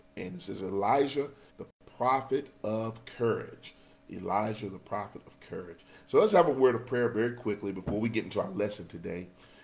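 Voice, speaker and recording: A man talks at a fairly quick pace, and his pitch varies in an ordinary way. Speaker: Sunday school teacher. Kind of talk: lesson introduction and prayer. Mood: earnest, prayerful. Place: home room. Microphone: webcam.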